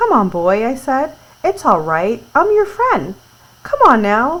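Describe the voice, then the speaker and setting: Soft-spoken and high-pitched, this put-on character voice moves fairly slowly through very wide pitch swings. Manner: soft, gentle, calming.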